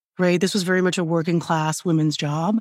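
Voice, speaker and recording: With an American accent, a woman at medium pitch has a plain, everyday voice on a very clean recording with a silent background. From US, rural central Pennsylvania. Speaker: author. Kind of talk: interview conversation.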